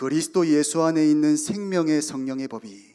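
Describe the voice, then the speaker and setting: A man's fairly high voice in an animated tone, at a fairly slow pace and with ordinary pitch variation. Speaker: youth pastor. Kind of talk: sermon.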